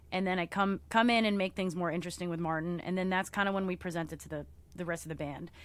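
A woman's fairly low voice at a very fast pace, with fairly even intonation, on a very clean recording with a silent background. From Philippines. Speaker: musician and streamer. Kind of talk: interview.

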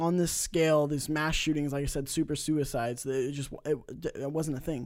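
A man's normal speaking voice with an American accent, fairly high in pitch, fairly even in intonation and at a fairly quick pace, on a very clean recording with a silent background. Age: 20s. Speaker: gaming podcast host. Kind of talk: casual chat.

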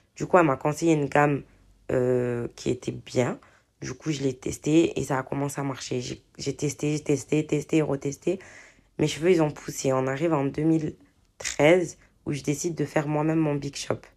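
A woman's very deep, low voice at a moderate pace with fairly even intonation, on a very clean recording with a silent background. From southern France, Marseille. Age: 30s. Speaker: podcast host, hair care entrepreneur. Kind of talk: casual monologue. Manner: hesitant, many fillers.

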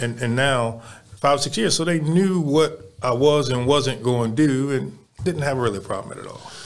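A man's medium-pitched voice with an American accent, at a moderate pace, ordinary pitch variation, big swings in loudness and noticeable background noise. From Baltimore, Maryland (East Baltimore). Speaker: youth basketball program director. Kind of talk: casual interview chat. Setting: studio.

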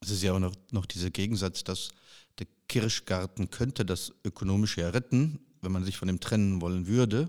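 In an ordinary speaking voice, a man talks at a moderate pace with a fairly low pitch and ordinary pitch variation, the sound dry and close with no echo on a very clean recording with a silent background. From western Germany. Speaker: podcast host. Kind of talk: casual interview.

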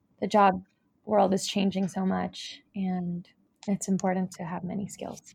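An American accent carries this somewhat breathy voice at a fairly slow pace. The intonation stays monotone and flat. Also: woman, medium pitch for a woman. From US West Coast, Los Angeles. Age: young. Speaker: freelance dancer and Pilates coach. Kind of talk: interview.

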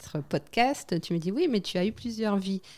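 A medium-pitched woman's voice with lively intonation at a fairly slow pace. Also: very clean recording, silent background. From French Guiana. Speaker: waste management entrepreneur and flight attendant. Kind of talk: interview.

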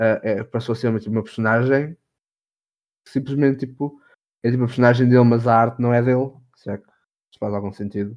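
A man talks at a very fast pace and a medium pitch, his intonation monotone and flat, with big swings in loudness and long, frequent pauses. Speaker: podcast co-host. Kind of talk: casual chat.

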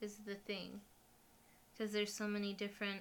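A woman's voice sits fairly high, with a bright, sharp tone. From Mexico. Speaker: podcast co-host. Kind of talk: casual chat.

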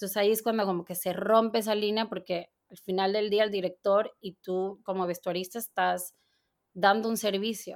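A woman speaks in a medium pitch with monotone, flat intonation and big swings in loudness. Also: moderate pace. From Mexico, Torreón, Coahuila. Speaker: costume designer. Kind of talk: interview.

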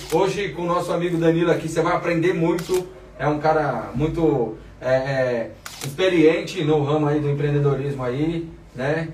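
Over noticeable background noise and audible room echo, a man talks at a moderate pace in a relaxed tone, with a fairly high pitch and fairly even intonation. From Brazil, Diadema. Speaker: podcast host. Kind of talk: casual interview chat. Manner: slangy, relaxed.

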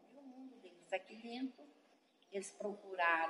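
A normal speaking voice moves at a moderate pace. Its intonation is lively. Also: woman. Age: 50s. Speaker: shop owner, colony resident. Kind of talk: oral history interview. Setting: museum in the colony.

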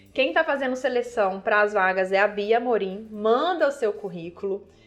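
Over music in the background, a woman with a fairly high pitch speaks at a moderate pace with ordinary pitch variation. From Minas Gerais, Brazil (Viçosa). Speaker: beer sommelier. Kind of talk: casual interview.

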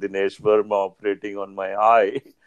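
Against a quiet background, a man talks at a moderate pace with a fairly low pitch. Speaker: ophthalmologist. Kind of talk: interview. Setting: remote call.

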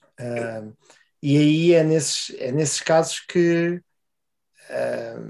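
This man has a European Portuguese accent, a fairly high pitch and a dark, mellow tone. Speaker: podcast co-host. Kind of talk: casual chat.

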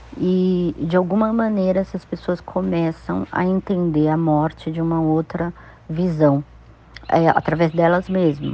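A woman with a plain, everyday voice speaks at a fairly slow pace and with fairly even intonation. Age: 50s. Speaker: spiritual practitioner. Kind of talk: personal testimony.

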